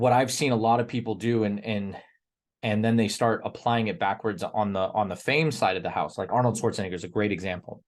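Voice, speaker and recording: A man with a plain, everyday voice, fairly low in pitch with ordinary pitch variation, at a fairly quick pace over a quiet background. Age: 30s. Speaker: fitness coach, membership group leader. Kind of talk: group call talk on fitness. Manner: many fillers and repeated words.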